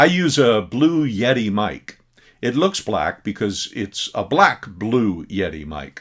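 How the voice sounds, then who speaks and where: Very slowly, a man speaks with vocal fry and very wide pitch swings. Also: medium pitch for a man. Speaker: teacher. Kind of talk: recorded presentation. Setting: recorded at computer desk. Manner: loud when teaching. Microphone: desk USB mic close to the speaker.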